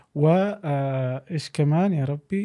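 Against a quiet background, a man with a fairly high pitch speaks with a dark, mellow, somewhat breathy tone and ordinary pitch variation. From Saudi Arabia. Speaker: podcast host. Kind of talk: casual chat. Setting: studio. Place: studio. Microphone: studio mic.

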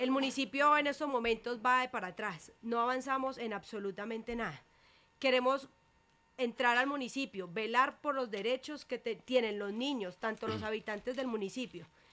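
A woman speaks in a high pitch. Her tone is bright and sharp. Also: ordinary pitch variation, moderate pace. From Colombia. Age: 20s. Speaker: local political candidate; candidate. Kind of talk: radio interview. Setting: radio studio. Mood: earnest, persuasive. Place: studio. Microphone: studio mic.

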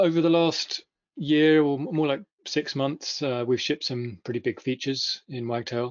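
This man has a British accent and a fairly high pitch with ordinary variation. He talks at a moderate pace against a quiet background. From United Kingdom. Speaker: software company founder and CTO; conference presenter. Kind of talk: conference presentation. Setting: video webinar. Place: home room. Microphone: video call.

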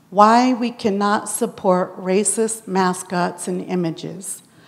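In an American accent, a woman speaks at a very slow pace. Her intonation is fairly even. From Lummi Nation, Washington; Washington. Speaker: audience member giving comment. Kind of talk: audience comment. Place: hall. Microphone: handheld.

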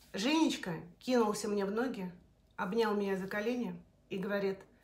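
Somewhat breathy, the voice moves at a moderate pace with ordinary pitch variation. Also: woman. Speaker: storyteller. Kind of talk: personal story told to camera. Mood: emotional, confessional retelling. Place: kitchen. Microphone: phone near.

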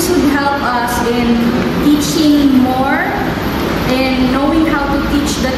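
Through audible room echo and loud background noise, a woman talks at a very slow pace. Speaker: teacher. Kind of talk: interview answer. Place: classroom. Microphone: phone near.

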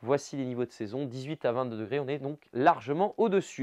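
Against a quiet background, a man speaks in an upbeat, enthusiastic tone. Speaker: weather presenter. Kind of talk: regional TV-style weather bulletin, brisk forecast narration over maps. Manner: upbeat, enthusiastic and conversational, with casual 'hein' asides; fluent brisk delivery listing towns and temperatures in quick succession. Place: studio. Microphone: lapel.

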